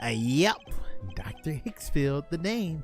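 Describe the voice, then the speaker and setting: Clear music plays behind a put-on character voice pitched in the middle range and delivered at a fairly slow pace. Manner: creepy.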